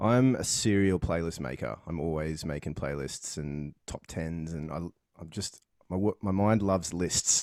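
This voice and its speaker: A man with an Australian accent has a very deep, low pitch. He talks at a moderate pace with ordinary pitch variation. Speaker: podcast host. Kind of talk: casual interview chat.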